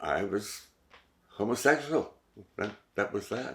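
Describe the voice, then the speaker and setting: A man speaks with vocal fry. He talks at a fairly slow pace. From Montreal, Quebec. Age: 70s. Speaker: oral history interviewee. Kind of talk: oral history interview. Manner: hesitant, with fillers and repetitions.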